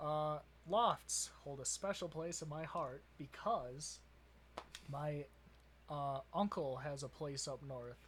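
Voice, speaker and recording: With a Wisconsin accent, a man talks at a very slow pace in a fairly high pitch, using ordinary pitch variation and long, frequent pauses. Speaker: podcast co-host. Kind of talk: casual chat.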